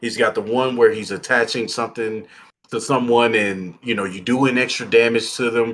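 Speaking at a moderate pace with an American accent, a man holds a medium pitch in a monotone, flat intonation. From Texas. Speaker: board game YouTuber. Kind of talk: casual chat.

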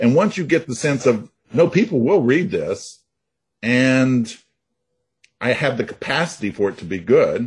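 With an American accent, a man speaks fairly slowly at a medium pitch, his voice somewhat breathy. His intonation is lively, and he takes long, frequent pauses. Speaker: novelist. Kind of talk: interview.

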